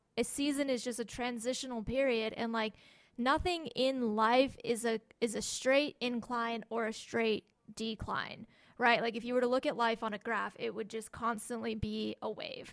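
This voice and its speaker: Delivered at a moderate pace, a normal speaking voice keeps a fairly even intonation. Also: woman, fairly high pitch for a woman. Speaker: podcast co-host. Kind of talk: casual chat.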